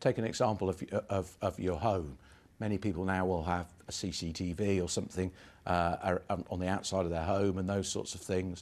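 At a fairly quick pace, a man speaks with a very deep, low pitch and fairly even intonation. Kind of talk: interview answer. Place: office.

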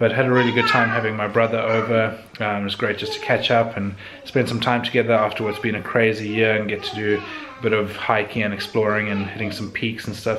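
With noticeable noise in the background, a man talks fairly quickly in a flat monotone. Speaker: vlogger. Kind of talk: casual vlog chat. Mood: relaxed, cheerful. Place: home room. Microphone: phone near.

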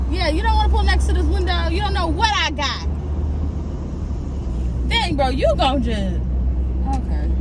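The sound is dry with no echo as a woman speaks at a moderate pace over noticeable background noise. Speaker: guest. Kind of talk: casual vlog chat. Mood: playful, joking. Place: car. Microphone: camera far.

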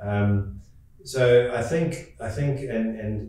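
In a strong room echo, a man speaks slowly with a dark, mellow tone, fairly low pitch and ordinary pitch variation.

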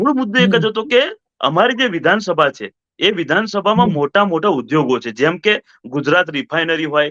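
A man's high voice with very wide swings in pitch. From Gujarat, Vadodara area. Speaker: local activist. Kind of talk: interview.

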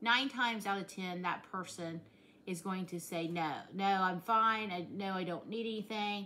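At a fairly slow pace, a woman with a rural Southern US accent speaks at a medium pitch in a bright, sharp tone with ordinary pitch variation. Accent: rural Southern US, self-described hillbilly. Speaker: vlogger. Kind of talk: casual vlog chat. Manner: warm, conversational, earnest. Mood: earnest, heartfelt. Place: kitchen. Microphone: phone near.

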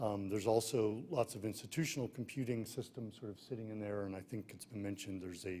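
Here is a man with a plain, everyday voice, pitched fairly low with ordinary pitch variation. He talks at a fairly quick pace with light background noise. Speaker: presenter. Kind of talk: conference talk. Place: hall. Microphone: podium.

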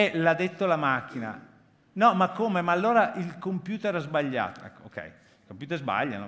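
Using vocal fry, a man talks at a fairly slow pace with a fairly high pitch and very wide pitch swings. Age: 50s. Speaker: foundation president, keynote speaker; keynote speaker. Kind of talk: conference keynote talk. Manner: halting. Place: hall. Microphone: headset.

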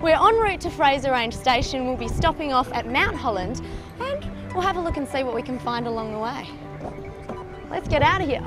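Over music in the background, a woman with an Australian accent speaks in a high pitch at a fairly quick pace, with lively intonation, an upbeat tone, and long, frequent pauses. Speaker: TV host. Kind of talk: TV travel and lifestyle presenting.

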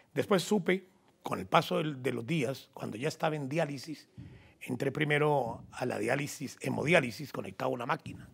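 At a moderate pace, a man speaks with vocal fry in a fairly high pitch with ordinary variation. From Colombia, Huila (Garzón); Huila, Colombia. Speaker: journalist and sports commentator. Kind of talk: interview. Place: studio. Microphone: lapel.

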